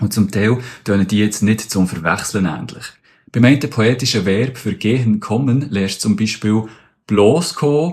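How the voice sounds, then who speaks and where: Here is a man with a fairly low pitch and ordinary pitch variation. He keeps a fairly slow pace. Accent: Bernese. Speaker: spoken word artist explaining language facts. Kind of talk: casual explainer.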